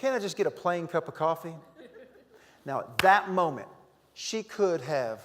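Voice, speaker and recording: In a Southern US accent, a high-pitched man speaks at a moderate pace with lively intonation. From North Carolina. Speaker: motivational humorist, keynote speaker. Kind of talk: humorous keynote speech to live audience. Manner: upbeat, energetic.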